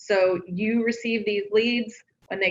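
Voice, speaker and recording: A woman with an unremarkable speaking voice talks at a moderate pace and medium pitch, her intonation fairly even. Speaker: marketing director. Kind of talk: presentation at live company meeting.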